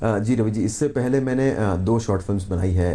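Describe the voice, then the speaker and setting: With noticeable background noise around him, a man with a fairly low pitch talks at a moderate pace, his pitch varying in an ordinary way. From Rajasthan, Bikaner. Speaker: filmmaker and actor. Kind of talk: TV interview. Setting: TV studio, live morning show.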